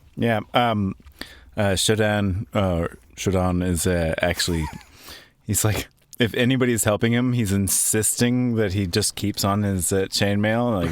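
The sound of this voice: Speaking at a moderate pace, a man uses a fairly low pitch with ordinary pitch variation.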